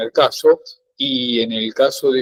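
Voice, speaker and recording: The recording is dry and close, with no echo. A man speaks very slowly. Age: 60s. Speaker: student. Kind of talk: class discussion. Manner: halting, many fillers.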